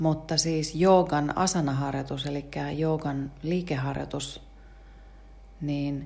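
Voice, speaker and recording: A woman with a very deep, low voice speaks at a very slow pace in fairly even intonation, with audible room echo. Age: old. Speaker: podcast host and yoga teacher. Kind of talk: casual morning talk on mindfulness. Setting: home kitchen.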